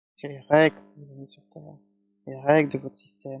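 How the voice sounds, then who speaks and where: A man speaks in a dry, close sound with no echo. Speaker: spiritual practitioner, channeling messages from guides. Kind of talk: channeled spiritual message, calm guided talk.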